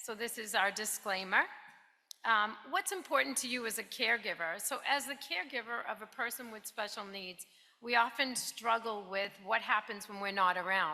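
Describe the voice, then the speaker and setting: Her pitch fairly high with ordinary variation, a woman speaks at a moderate pace with big swings in loudness. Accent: New Jersey. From New Jersey. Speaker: financial planning specialist. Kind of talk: presentation. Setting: stage with audience.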